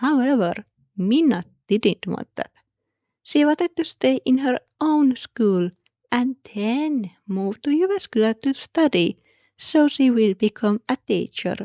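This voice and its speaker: A woman with a high, dark and mellow voice speaks at a fairly slow pace with a non-native accent. Her pitch swings very widely, and the sound is dry and close with no echo. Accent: non-native accent, self-noted. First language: Finnish. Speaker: podcast host. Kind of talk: history podcast narration.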